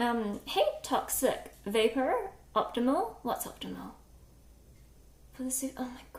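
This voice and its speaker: Speaking at a very slow pace, a woman leaves long, frequent pauses and her loudness swings widely. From New Zealand. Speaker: cooking livestreamer. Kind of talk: live-stream cooking chat. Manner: casual, chatty with filler words.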